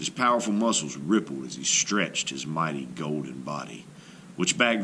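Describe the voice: A man speaks at an extremely low pitch, with a bright, sharp tone. His pitch swings widely, and he moves at a fairly slow pace.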